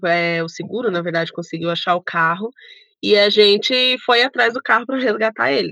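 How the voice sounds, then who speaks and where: At a moderate pace, an ordinary speaking voice from a woman, with ordinary pitch variation. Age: 30s. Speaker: travel YouTuber, former systems analyst. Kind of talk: casual interview chat.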